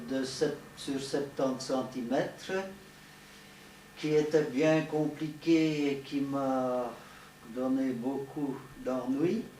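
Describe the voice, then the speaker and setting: The speaker goes at a very slow pace with long, frequent pauses. Audible room echo is present. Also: man. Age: 70s. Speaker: radio amateur, retired teacher. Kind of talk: show-and-tell presentation. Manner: hesitant.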